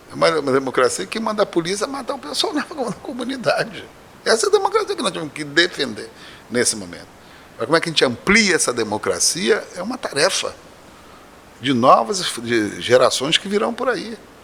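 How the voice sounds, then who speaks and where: A man at a fairly quick pace, with long, frequent pauses, big swings in loudness and noticeable background noise. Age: 60s. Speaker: professor and candomblé priest. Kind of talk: podcast interview.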